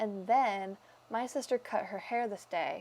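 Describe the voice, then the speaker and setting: On a very clean recording with a silent background, a woman speaks in a plain, everyday voice. Her pace is moderate and her intonation fairly even. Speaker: planner YouTuber. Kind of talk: voice-over narration of planning video.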